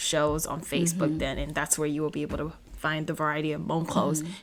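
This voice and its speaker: A woman speaks with noticeable vocal fry. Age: young. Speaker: podcast co-host. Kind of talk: casual podcast conversation.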